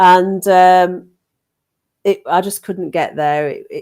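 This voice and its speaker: A woman with a Yorkshire accent speaks at a fairly slow pace in a very clean recording with a silent background. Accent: northern English (Yorkshire). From Yorkshire, northern England. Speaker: paranormal investigator. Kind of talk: casual chat. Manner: animated.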